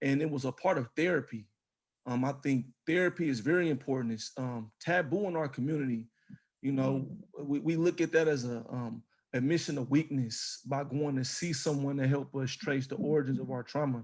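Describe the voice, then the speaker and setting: This man has a normal speaking voice with a fairly high pitch and ordinary pitch variation. He talks at a fairly quick pace. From East Oakland, California. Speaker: author and podcaster. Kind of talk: personal testimony.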